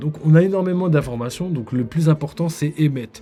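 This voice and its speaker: This man's voice sits fairly high in pitch, with a dark, mellow tone, some breathiness and ordinary pitch variation. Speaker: manga streamer. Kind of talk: live stream analysis. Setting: live stream on camera. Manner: hesitant, many fillers.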